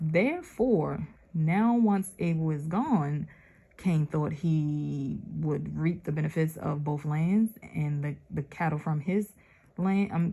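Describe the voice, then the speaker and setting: Somewhat breathy and dark, mellow in tone, a woman speaks very slowly at a very deep, low pitch with ordinary pitch variation. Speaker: religious channel host reading scripture. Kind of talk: scripture reading with reflection. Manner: casual, conversational.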